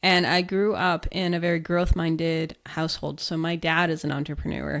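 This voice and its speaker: A woman with an American accent talks in an ordinary speaking voice, fairly low-pitched, at a moderate pace. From US. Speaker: business founder. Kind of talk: interview.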